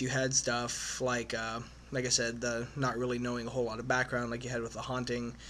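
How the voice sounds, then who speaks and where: The speaker is a man with a medium pitch. He keeps up a fairly quick pace. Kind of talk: casual movie review to camera. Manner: hesitant, frequent filler sounds.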